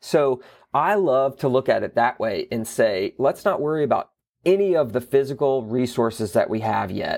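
Over a silent background in a very clean recording, a man with a normal speaking voice talks fairly slowly at a medium pitch with lively intonation. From US South, Florida Panhandle. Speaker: theater executive director. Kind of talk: interview.

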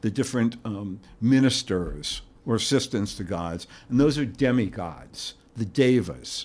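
This man talks at a fairly slow pace in a normal speaking voice, with an American accent and a medium pitch. His pitch varies in an ordinary way, and the recording is very clean with a silent background. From New York. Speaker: university English professor. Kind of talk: casual interview.

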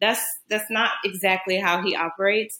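This is an unremarkable speaking voice. A woman talks at a medium pitch and a moderate pace. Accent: American. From New Orleans, US South. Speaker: naturopathic doctor. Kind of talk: casual chat.

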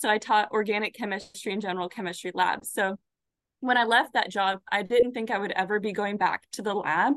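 A plain, everyday voice at a fairly quick pace with fairly even intonation, dry and close with no echo, over a quiet background. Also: woman. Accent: American. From Arizona. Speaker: pathology resident. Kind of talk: interview.

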